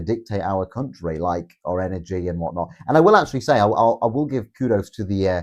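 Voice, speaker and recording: With an animated tone and lively intonation, a man talks at a very fast pace. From northern England, Grimsby. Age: 20s. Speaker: political livestreamer. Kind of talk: livestream commentary reading chat. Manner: casual, animated.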